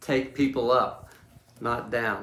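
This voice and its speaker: A man's voice carries audible room echo. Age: 70s. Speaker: leadership coach and speaker. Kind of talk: talk to camera about a book. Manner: halting, with repeated words.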